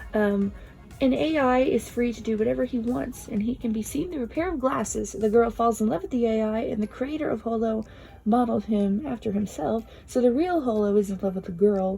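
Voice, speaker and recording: Quiet and fairly quick, a woman speaks with lively intonation. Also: fairly high pitch for a woman. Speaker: video creator reviewing films. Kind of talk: casual recommendations vlog. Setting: at home, early morning. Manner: quiet, subdued.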